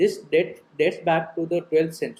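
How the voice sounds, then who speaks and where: Speaking in an Odisha accent, a man has a high pitch and a dark, mellow tone. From Odisha, India. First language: Odia. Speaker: type designer. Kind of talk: conference presentation.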